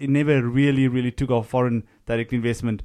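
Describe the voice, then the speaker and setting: At a very fast pace, a man talks at a medium pitch with monotone, flat intonation. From South Africa, small town near Cape Town. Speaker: foreign news correspondent. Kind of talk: interview discussion. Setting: studio.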